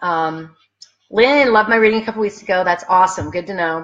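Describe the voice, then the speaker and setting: This woman speaks at a very fast pace. Her pitch is medium, with ordinary variation. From New England. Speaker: psychic medium. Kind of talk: live stream chat reading viewer comments. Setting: Facebook live stream on laptop. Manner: animated. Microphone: laptop mic.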